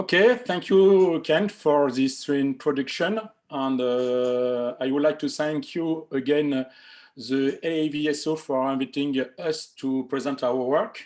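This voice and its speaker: A man with a fairly high pitch, talking at a fairly slow pace. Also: ordinary pitch variation. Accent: French. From France. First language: French. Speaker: amateur astronomer. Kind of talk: presentation. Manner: halting.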